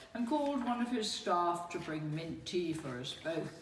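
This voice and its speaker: Over noticeable background noise, a woman with lively intonation speaks at a fairly slow pace in a fairly low pitch. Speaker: spoken word performer. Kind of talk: spoken word reading of personal memoir.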